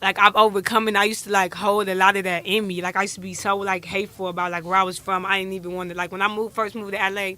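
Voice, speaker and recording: A woman with an American accent rattles along at a very fast pace with hardly any pauses, her medium-pitched voice monotone and flat against noticeable background noise. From Flint, Michigan, US. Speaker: rapper. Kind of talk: interview. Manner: halting.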